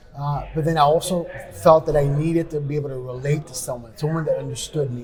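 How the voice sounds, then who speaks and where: Noticeable background noise fills the clip. A man talks at a very fast pace and fairly high pitch. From New York City, raised by Spanish-speaking family. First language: Spanish. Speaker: podcast host, business professional. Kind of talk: interview conversation.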